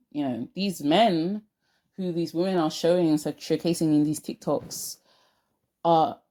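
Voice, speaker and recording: In a very clean recording with a silent background, a woman speaks at a moderate pace with a South London accent, her fairly low voice dark and mellow in tone. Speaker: lifestyle vlogger. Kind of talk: casual vlog monologue. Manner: animated, emphatic.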